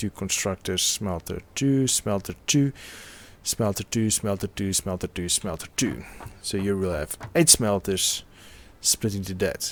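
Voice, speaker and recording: A man with a fairly low pitch talks in a non-native accent on a very clean recording with a silent background. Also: ordinary pitch variation, fairly slow pace. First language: not English. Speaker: video game commentator. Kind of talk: gameplay commentary.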